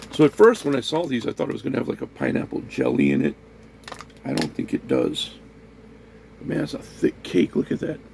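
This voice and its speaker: A man's fairly quick speech broken by long, frequent pauses, with noticeable background noise. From US, raised in a Puerto Rican neighborhood. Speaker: food review vlogger. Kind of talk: casual talk to camera, food tasting.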